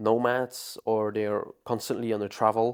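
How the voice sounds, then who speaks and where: Over a silent background in a very clean recording, a man with a non-native accent speaks at a moderate pace and a medium pitch. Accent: non-native pronunciation. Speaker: fitness coach. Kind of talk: tutorial. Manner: hesitant, many fillers.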